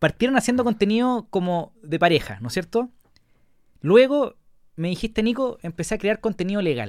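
At a moderate pace and with lively intonation, this speaker talks in a Chilean accent on a very clean recording with a silent background. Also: man, high pitch for a man. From Chile, La Serena. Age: 30s. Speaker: podcast host. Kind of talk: casual interview chat.

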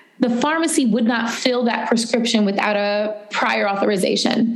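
With an American accent, a woman speaks in a high pitch amid noticeable background noise and audible room echo. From US Northeast, New York City (the Bronx). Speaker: entrepreneur. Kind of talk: interview. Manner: hesitant, many fillers.

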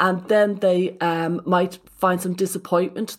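A woman with an Irish accent speaks at a medium pitch. The recording is very clean, with a silent background. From Ireland. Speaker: psychotherapist. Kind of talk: casual chat.

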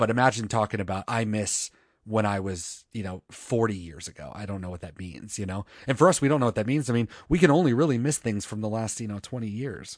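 Very fast speech with lively intonation and big swings in loudness, over a quiet background. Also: man, fairly low pitch for a man. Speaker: music podcast host. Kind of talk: casual chat. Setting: remote recording, co-hosts in different states. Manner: playful, joking.

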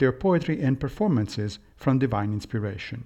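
Before a quiet background, a man in an unremarkable speaking voice talks at a fairly quick pace, medium in pitch with lively intonation. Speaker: podcast host and philosophy lecturer. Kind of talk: scripted reading of a Plato dialogue, then lecture-style commentary. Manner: measured, formal, didactic.

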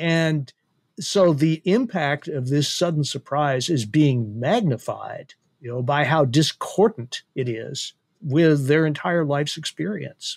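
A man speaks very slowly in a fairly high voice. The recording is very clean, with a silent background. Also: ordinary pitch variation. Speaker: panel regular and policy scholar. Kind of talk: political roundtable discussion.

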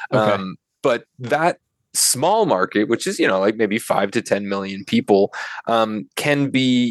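With an American accent, a man speaks in a plain, everyday voice at medium pitch, with ordinary pitch variation and a dry, close sound with no echo. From US Pacific Northwest, Seattle area. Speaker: video game director. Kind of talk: casual interview chat.

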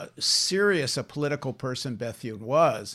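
A man with an unremarkable speaking voice talks at a moderate pace, his pitch fairly high. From Canada, Toronto. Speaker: journalist and filmmaker. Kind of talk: interview conversation.

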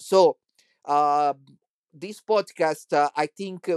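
A man speaks at a fairly slow pace with an Italian accent. The sound is dry and close, with no echo. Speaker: church musician and podcaster. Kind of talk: monologue commentary. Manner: halting.

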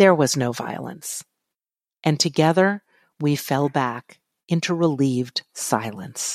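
A woman with an American accent speaks at a very slow pace, with long, frequent pauses and a very deep, low pitch. Her intonation is lively, and the sound is dry and close with no echo. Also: very clean recording, silent background. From Virginia, Charlottesville. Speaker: memoir writer and co-host. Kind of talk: casual chat; reading aloud.

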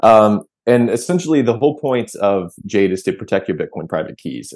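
A man speaks at a fairly quick pace in a normal speaking voice, with lively intonation. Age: 30s. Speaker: product manager, crypto company. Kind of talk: tutorial.

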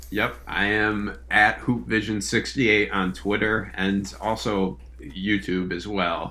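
A man's bright, sharp voice, fairly low in pitch with vocal fry, very slow yet with hardly any pauses, and lively intonation. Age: 20s. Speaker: college basketball analyst. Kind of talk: casual chat.

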